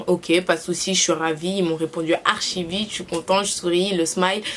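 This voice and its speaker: This woman speaks at a medium pitch. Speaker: YouTuber. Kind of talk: casual vlog review. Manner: hesitant, many fillers.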